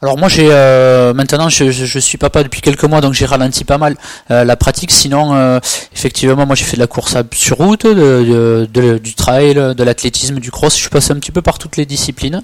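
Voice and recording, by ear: With fairly even intonation, a man speaks at a medium pitch and a fairly quick pace.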